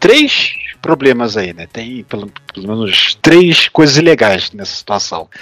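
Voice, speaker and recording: Noticeable background noise sits behind a man talking at a fairly high pitch. He goes at a fairly slow pace, and the sound is dry and close with no echo. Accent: Brazilian. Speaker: political podcast co-host. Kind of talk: casual political chat. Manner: halting, with many repeated words and fillers.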